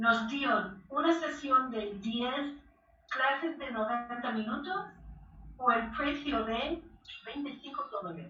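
A woman's raised, projected voice at a high pitch, with lively intonation at a very slow pace and audible room echo. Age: 60s. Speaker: belly dance teacher and author. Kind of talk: interview. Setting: remote call.

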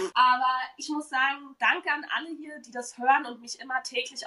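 At a moderate pace, a woman projects a raised, high-pitched voice. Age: 20s. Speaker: podcast host and sleep consultant. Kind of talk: casual chat.

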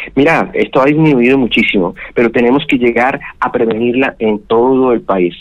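In a normal speaking voice, the speaker keeps a moderate pace with very even loudness, ordinary pitch variation and hardly any pauses. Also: man, medium pitch for a man. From Colombia, Santander (Bucaramanga). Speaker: gynecologist, fertility specialist. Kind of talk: radio interview.

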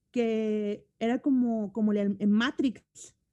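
In a dry, close recording with no echo, a woman speaks in a fairly high pitch with a dark, mellow tone. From Mexico. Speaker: communication coach and musician. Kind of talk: casual interview chat.

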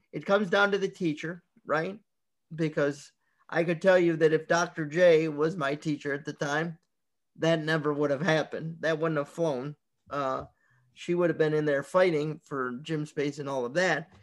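At a moderate pace, a man with a fairly high pitch and a plain, everyday voice talks with fairly even intonation against a quiet background. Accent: American. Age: 40s. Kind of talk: guest talk to a class.

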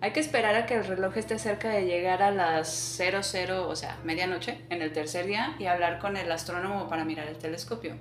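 A woman speaks at a moderate pace with lively intonation and a fairly low pitch. Background noise is noticeable. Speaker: podcast host. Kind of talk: ghost story telling, reading a first-person creepypasta aloud. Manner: casual and chatty between story sections.

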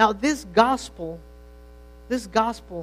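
Very slow speech from a man with a non-native accent. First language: not English. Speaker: pastor. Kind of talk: sermon. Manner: halting, with repeated words.

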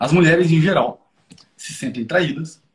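A somewhat breathy voice at a fairly quick pace. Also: man. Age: 20s. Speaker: psychotherapist. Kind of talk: casual chat.

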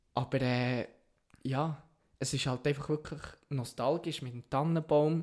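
The speech moves at a fairly slow pace. Intonation stays fairly even. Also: man. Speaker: podcast co-host. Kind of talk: casual chat.

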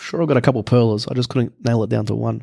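A man with an Australian accent, in a very clean, dry, close recording with no echo and a silent background. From Melbourne, Australia. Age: 20s. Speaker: chef. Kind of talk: casual chat.

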